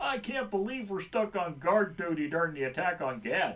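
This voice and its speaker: A man in a gruff, put-on character voice, high in pitch, at a moderate pace over light background noise. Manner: complaining.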